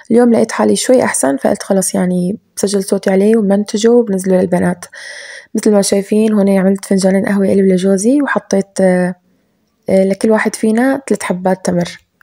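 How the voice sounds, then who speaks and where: A woman speaks at a fairly quick pace with a dark, mellow tone and medium pitch. Her intonation is fairly even, her loudness very even, and the sound dry and close with no echo. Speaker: home cooking vlogger. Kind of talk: voiceover narration of cooking routine.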